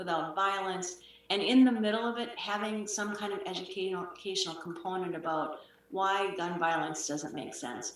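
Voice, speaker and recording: An American accent, a moderate pace and ordinary pitch variation. There is noticeable background noise and audible room echo. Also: woman, medium pitch for a woman. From Wisconsin, US Midwest. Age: 60s. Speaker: author and communication consultant. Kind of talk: interview. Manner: hesitant, many fillers.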